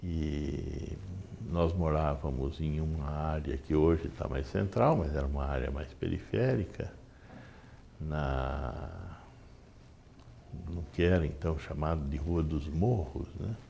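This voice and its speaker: Very slow and broken by long, frequent pauses, a man's very deep, low voice moves with ordinary pitch variation through audible room echo. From Brazil, Sorocaba (São Paulo state). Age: 60s. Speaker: physician. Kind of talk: interview. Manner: hesitant.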